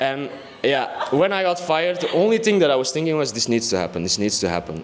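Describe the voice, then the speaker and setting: A man's fairly high voice at a very fast pace, with very wide pitch swings and noticeable background noise. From Belgium, Antwerp. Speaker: music producer and DJ. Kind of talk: casual interview.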